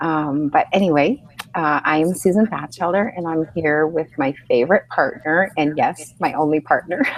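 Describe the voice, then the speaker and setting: A woman speaks at a moderate pace. Her pitch is very deep and low, with ordinary variation. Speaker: online mentor and webinar host. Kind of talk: live webinar chat. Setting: hotel room, live video hangout. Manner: quieter than usual.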